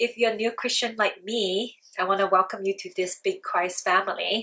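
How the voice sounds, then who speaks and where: A woman speaks with a Chinese accent. Her tone is bright and sharp, and her intonation stays fairly even. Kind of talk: casual talk to camera.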